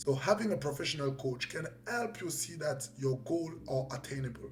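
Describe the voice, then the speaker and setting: This man talks fairly slowly with a fairly high pitch, and noticeable background noise is present. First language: French. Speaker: life coach, professional boxer. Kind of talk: motivational talk to camera.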